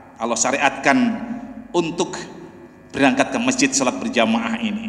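Audible room echo surrounds a man with a fairly high pitch. He speaks at a moderate pace with very wide pitch swings. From Indonesia. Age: 60s. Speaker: preacher; mosque preacher. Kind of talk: sermon. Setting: mosque. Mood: warm, smiling. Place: church. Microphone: podium.

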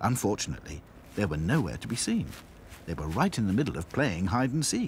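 Reading is done here in a natural voice.

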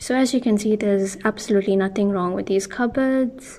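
Light background noise sits behind a woman speaking at a fairly quick pace with fairly even intonation. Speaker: room makeover vlogger. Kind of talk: casual vlog chat. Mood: relaxed, friendly. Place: home room.

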